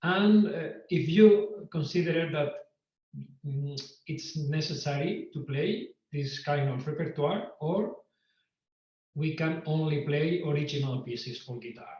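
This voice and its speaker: A man with a Spanish accent speaks at a fairly slow pace and fairly high pitch, with ordinary pitch variation, long, frequent pauses and audible room echo. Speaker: guitar teacher and composer. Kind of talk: online lecture. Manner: halting.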